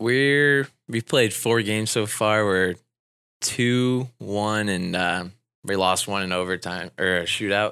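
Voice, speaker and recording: Speaking with a Midwestern US accent, a man has a bright, sharp tone and a fairly low pitch with ordinary pitch variation. His pace is very slow. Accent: US Midwest. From Indiana, US Midwest. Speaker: assistant hockey coach. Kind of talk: radio interview.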